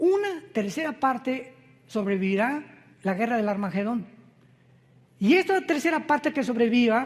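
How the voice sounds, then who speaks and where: With an extremely high pitch and very wide pitch swings, a man talks at a moderate pace, leaving long, frequent pauses. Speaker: pastor. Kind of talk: sermon.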